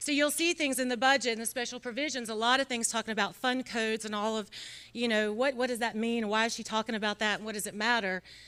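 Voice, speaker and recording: Talking very fast in a North Carolina accent, a woman uses a fairly high pitch, a bright, sharp tone and fairly even intonation. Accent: North Carolina Southern. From North Carolina, Iredell County. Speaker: state senator. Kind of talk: award acceptance speech. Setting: luncheon event with audience.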